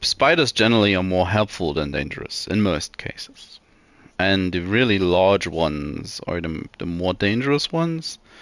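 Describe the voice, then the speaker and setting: With a non-native accent, the speaker uses lively intonation at a moderate pace. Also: man, very deep, low pitch for a man. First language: not English. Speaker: video game streamer. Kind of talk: casual gameplay stream chat. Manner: hesitant, many fillers and repeats.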